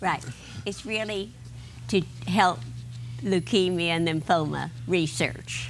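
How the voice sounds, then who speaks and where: At a very slow pace with long, frequent pauses, a woman with a fairly low pitch and vocal fry speaks with lively intonation. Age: 90s. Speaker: elderly marathon runner and pianist. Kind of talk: TV interview.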